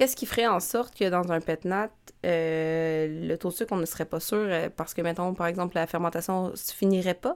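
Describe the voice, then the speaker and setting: A woman with an ordinary speaking voice, fairly low in pitch, with ordinary pitch variation at a moderate pace. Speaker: wine podcast host. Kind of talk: quiz reading; casual chat.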